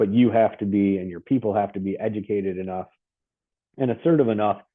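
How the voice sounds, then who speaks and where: Fairly even intonation holds through speech at a fairly quick pace. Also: man. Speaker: lawyer hosting webinar. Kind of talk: webinar presentation. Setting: online webinar. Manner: fast; casual with fillers.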